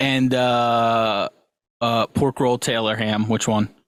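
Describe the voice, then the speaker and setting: In a very clean recording with a silent background, dry and close with no echo, a man with a New Jersey accent speaks in a medium-pitched voice with very even loudness and monotone, flat intonation. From New Jersey, Central Jersey. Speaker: podcast co-host. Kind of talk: casual chat.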